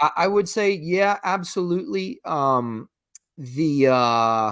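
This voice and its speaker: Very slow in pace, a man with a Greek accent and fairly high pitch makes very wide pitch swings on a very clean recording with a silent background. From Greece. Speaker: esoteric history guest. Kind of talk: casual interview chat. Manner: halting, many repeated words.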